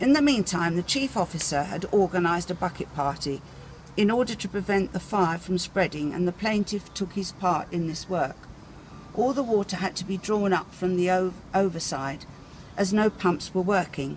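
Speech moves along at a moderate pace over light background noise. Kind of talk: reading a document aloud. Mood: careful, some stumbles. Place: street.

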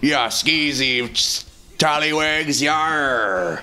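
A put-on character voice at a low-to-middle pitch comes through over clear background noise. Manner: playful, exaggerated.

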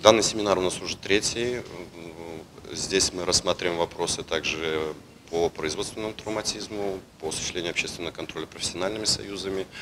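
This man speaks with a very deep, low pitch and fairly even intonation. Noticeable background noise runs underneath. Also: fairly quick pace. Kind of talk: interview answer. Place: hall.

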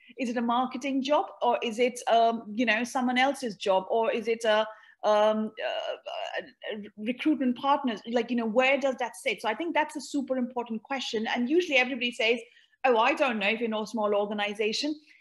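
Against a quiet background, a woman with an Indian accent talks at a fairly quick pace in a high pitch with ordinary pitch variation. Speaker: marketing executive; panelist. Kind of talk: virtual panel discussion. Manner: repeats words, hesitant. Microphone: video call.

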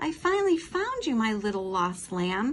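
Putting on a character voice with very wide pitch swings, a woman speaks at a fairly high pitch over light background noise. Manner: kind, reassuring.

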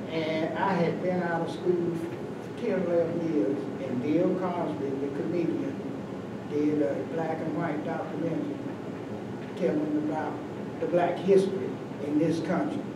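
Loud background noise and audible room echo surround speech at a fairly slow pace with long, frequent pauses. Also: man. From US South (western North Carolina). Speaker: community elder, retired postal worker. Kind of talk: oral history round table. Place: meeting room. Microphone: camera far.

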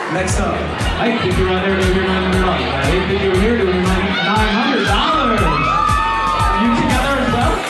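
Loud music in the background and audible room echo accompany speech at a moderate pace broken by long, frequent pauses. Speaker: benefit auctioneer. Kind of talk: live charity auction calling. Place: hall.

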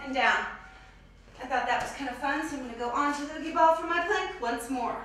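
Over faint background music and strong room echo, a woman talks at a fairly quick pace in a high pitch with ordinary pitch variation. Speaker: fitness instructor. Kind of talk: workout tutorial. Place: gym.

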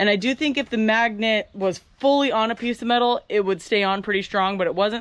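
A woman talks at a moderate pace with ordinary pitch variation, recorded with a dry sound and no echo. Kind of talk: casual vlog tutorial. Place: farm machine. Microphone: phone near.

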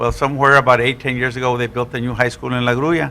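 Speaking in a monotone, flat way with an American accent, a man has a medium-pitched voice with a bright, sharp tone. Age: 60s. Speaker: school board member. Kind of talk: public meeting discussion.

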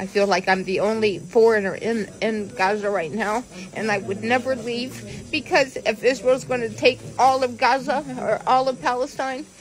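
A woman with an American accent speaks at a moderate pace with hardly any pauses and ordinary pitch variation over light background noise. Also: fairly high pitch for a woman. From United States. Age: 60s. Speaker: teacher. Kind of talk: interview answer. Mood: pained, emotional, weak. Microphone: phone near.

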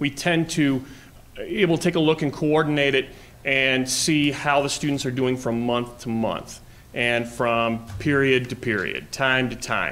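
Over noticeable background noise, a man with an American accent speaks at a fairly slow pace, with medium pitch and ordinary pitch variation. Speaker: assistant principal. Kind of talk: presentation to school board. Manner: halting, many fillers.

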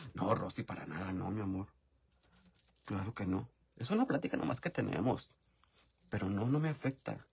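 A man's fairly low, somewhat breathy voice, animated with lively intonation and broken by long, frequent pauses. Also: moderate pace. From rural Mexico. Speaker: YouTuber live-streaming while doing makeup. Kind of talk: casual live-stream chat. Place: home room. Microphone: phone near.

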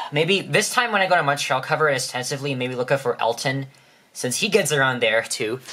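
Talking at a very fast pace with lively intonation, a man with a fairly high pitch is heard over noticeable background noise. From Toronto, Canada. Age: young. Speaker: YouTuber. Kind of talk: casual vlog. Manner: halting, many fillers.

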